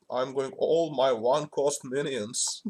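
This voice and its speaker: Someone speaks at a very slow pace with a Turkish accent in a very clean recording with a silent background. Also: man. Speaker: gaming streamer. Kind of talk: gameplay commentary. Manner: halting, many fillers.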